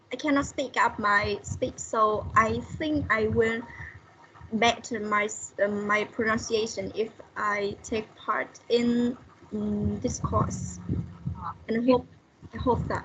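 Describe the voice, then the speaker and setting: A woman speaks at a very slow pace with long, frequent pauses. Noticeable background noise runs underneath. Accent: Vietnamese. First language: Vietnamese. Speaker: student. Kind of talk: class introduction. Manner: halting.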